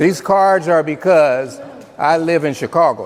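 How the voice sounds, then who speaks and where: Someone with an American accent speaks with ordinary pitch variation against noticeable background noise. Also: man. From Miami, Florida. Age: 70s. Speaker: pastor and former basketball player. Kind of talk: motivational talk to school students. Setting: middle school classroom. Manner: firm, commanding.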